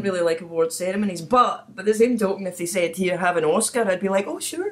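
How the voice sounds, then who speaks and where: A woman with a Scottish accent at a very fast pace, medium pitch and ordinary pitch variation. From Scotland. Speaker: podcast host. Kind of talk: casual podcast conversation. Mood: jokey, animated. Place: home room.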